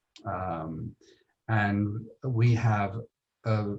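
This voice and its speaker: There is some breathiness in the voice. The speaker has an American accent. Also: man. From Britain. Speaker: tourism marketing executive. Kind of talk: interview. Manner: hesitant, many fillers.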